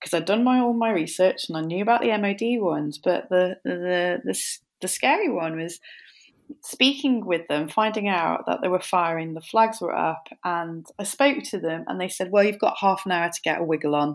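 On a very clean recording with a silent background, a woman with a Welsh accent speaks at a moderate pace, at medium pitch, with lively intonation. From North Wales. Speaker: paddleboard instructor and adventurer. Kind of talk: interview.

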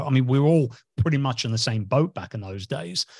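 Somewhat breathy, a man at a medium pitch speaks with lively intonation in a dry, close sound with no echo. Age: 50s. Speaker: podcast host, business mentor. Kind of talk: interview podcast; promotional announcement. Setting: recording studio or video call.

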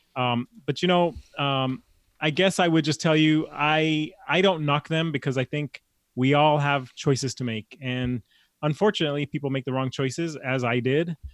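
Speaking at a moderate pace, a man with an American accent uses a fairly high pitch and ordinary pitch variation. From Los Angeles. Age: 40s. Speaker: chef and cooking coach. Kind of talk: casual interview. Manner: halting with frequent repeated words.

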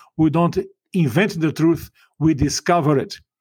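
A man talks with a Portuguese accent. His pitch is fairly high and his pace moderate. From Brazil. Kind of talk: interview.

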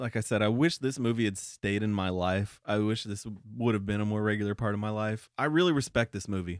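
The speaker has a normal speaking voice with ordinary pitch variation. The fairly quick delivery has hardly any pauses on a very clean recording with a silent background. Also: man. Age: 30s. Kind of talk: casual chat.

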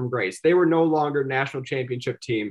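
In an Upper Midwest accent, a man talks at a very fast pace. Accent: Upper Midwest American. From South Dakota, Sioux Falls. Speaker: sports journalist. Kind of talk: casual chat.

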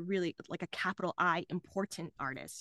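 A woman with an American accent speaks at a fairly quick pace in a bright, sharp tone, the sound dry and close with no echo. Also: quiet background. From Dallas, Texas. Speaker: comedian. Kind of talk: casual chat. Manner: animated.

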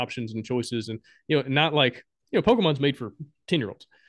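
The speaker talks at a very fast pace with a Southern US accent. The background is quiet. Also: man. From Alabama, US South. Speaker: board game designer and podcaster. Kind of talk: casual interview chat.

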